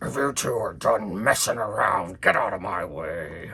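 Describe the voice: A man uses a put-on character voice with a bright, sharp tone, fairly low pitch and vocal fry. His intonation is lively and his pace fairly slow.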